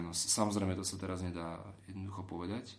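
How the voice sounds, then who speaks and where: A man speaks in a very deep, low voice with fairly even intonation. Audible room echo surrounds him. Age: 30s. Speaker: political advisor to an MEP. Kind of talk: interview.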